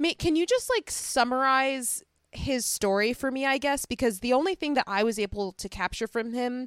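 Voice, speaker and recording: The recording is very clean, with a silent background and a dry, close sound with no echo. A woman with an American accent talks at a fairly slow pace with lively intonation. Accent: Chicago accent, noticeable with locals. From Chicago, US Midwest. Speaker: podcast host. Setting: recording while visiting family, baby nearby.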